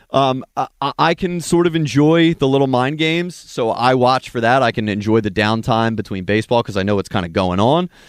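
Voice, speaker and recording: A man with a medium pitch and an ordinary speaking voice talks at a fairly quick pace with lively intonation, in a very clean, silent-background recording that sounds dry and close with no echo. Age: 20s. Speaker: sports radio producer. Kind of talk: casual chat.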